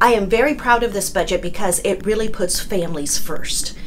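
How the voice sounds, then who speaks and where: The speech moves at a fairly quick pace. Light background noise is audible. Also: woman. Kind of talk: direct-to-camera update to constituents. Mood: proud, upbeat. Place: office. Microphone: phone near.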